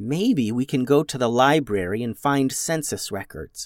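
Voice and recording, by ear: The speaker is reading aloud in a natural voice.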